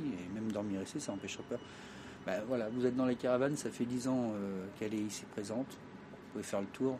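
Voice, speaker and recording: A man races along at a very fast pace with ordinary pitch variation. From France, Traveller community. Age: 50s. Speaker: fortune teller. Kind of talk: interview.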